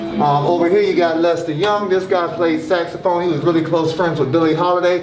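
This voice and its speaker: Speaking in a Southern US accent, a man with a high-pitched voice talks in an animated tone at a fairly quick pace, with hardly any pauses and very even loudness, over noticeable background noise. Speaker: jazz musician, park visitor. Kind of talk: casual chat. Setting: outdoors at a theme park.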